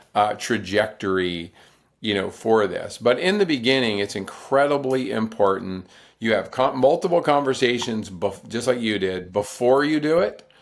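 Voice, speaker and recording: With an American accent and a normal speaking voice, a man talks at a moderate pace and medium pitch, his intonation lively, on a very clean recording with a silent background. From US South, North Carolina. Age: 60s. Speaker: ultrarunner and author. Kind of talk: podcast interview.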